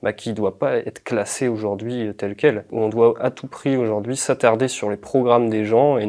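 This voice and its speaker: A man's medium-pitched, dark, mellow voice at a moderate pace, monotone with flat intonation. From northern France, Pas-de-Calais. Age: 20s. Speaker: political candidate and activist. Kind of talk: interview. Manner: hesitant, many fillers.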